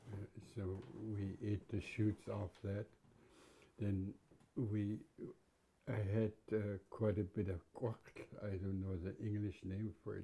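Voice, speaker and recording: Very slowly and with long, frequent pauses, a man speaks in a dark, mellow, somewhat breathy tone with flat, monotone intonation. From west coast of Vancouver Island, Canada (Nuu-chah-nulth). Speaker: First Nations elder. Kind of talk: interview, personal recollection. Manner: halting, with frequent repetitions.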